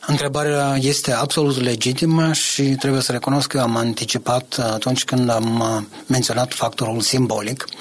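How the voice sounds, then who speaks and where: A man speaks at a medium pitch and a moderate pace, keeping his loudness very even. Noticeable background noise runs behind him. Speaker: political analyst. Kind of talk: interview.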